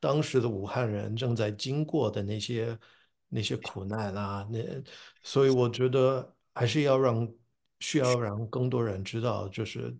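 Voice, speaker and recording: The speech moves at a fairly slow pace with fairly even intonation over a quiet background. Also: man, medium pitch for a man. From US (New Jersey). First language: English (speaking Chinese). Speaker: professor and translator. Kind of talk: interview. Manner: halting with fillers and repetitions.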